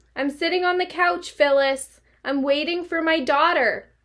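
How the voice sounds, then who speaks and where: A woman uses a squeaky, put-on character voice at an extremely high pitch. Her intonation stays fairly even. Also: moderate pace. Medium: read story. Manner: meek, hesitant, bewildered.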